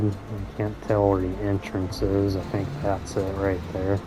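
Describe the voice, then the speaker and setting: A quiet man with a very deep, low pitch and monotone, flat intonation, amid noticeable background noise and audible room echo. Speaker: gaming YouTuber. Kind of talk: gameplay commentary. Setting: at home.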